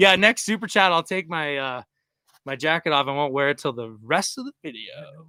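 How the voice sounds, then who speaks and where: A man with a fairly high pitch talks at a fairly quick pace in an energetic tone, with lively intonation and big swings in loudness, in a very clean recording with a silent background and a dry, close sound with no echo. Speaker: overlanding vlogger. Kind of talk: live stream chat.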